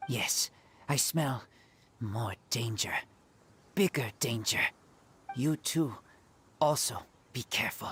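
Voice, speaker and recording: A put-on character voice sits at a low-to-middle pitch. It moves at a fairly slow pace with long, frequent pauses. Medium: video game. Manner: terse, simple phrasing.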